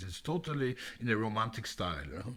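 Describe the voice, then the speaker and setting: On a very clean recording with a silent background, a man with a German accent talks at a fairly quick pace with lively intonation. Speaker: classical music podcast co-host. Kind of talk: casual chat. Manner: halting, repeats words.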